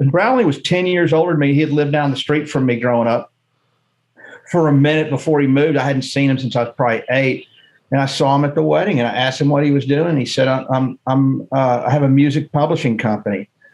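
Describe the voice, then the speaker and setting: With an American accent, a man speaks at a very fast pace, with fairly even intonation and very even loudness. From Texas, Houston. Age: 50s. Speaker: music publisher. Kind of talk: casual interview. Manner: halting, repeats words. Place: office. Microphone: webcam.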